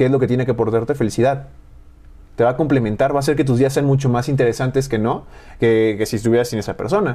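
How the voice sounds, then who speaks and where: A man talks at a very fast pace in a dark, mellow tone with fairly even intonation. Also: medium pitch for a man. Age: 20s. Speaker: nutritionist and university program coordinator. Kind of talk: casual interview chat.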